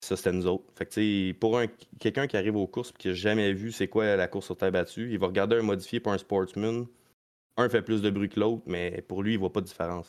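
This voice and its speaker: At a fairly quick pace, a man with a normal speaking voice talks at fairly low pitch. His intonation is fairly even, and the background is quiet. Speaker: stock car racing driver. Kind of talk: casual chat.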